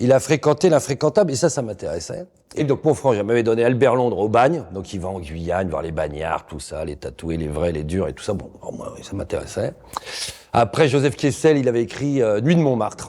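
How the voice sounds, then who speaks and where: Medium-pitched male voice, dark and mellow, with very wide pitch swings, vocal fry and a moderate pace. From Paris region, Seine-Saint-Denis (93). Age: 50s. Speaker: investigative journalist. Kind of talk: interview. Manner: casual, colloquial with hesitations.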